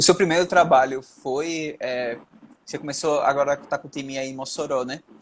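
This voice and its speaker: Moving at a moderate pace, a man with a fairly high pitch keeps a fairly even intonation but shows big swings in loudness and long, frequent pauses. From Brazil, Sergipe. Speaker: podcast host, psychology student. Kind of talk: interview podcast.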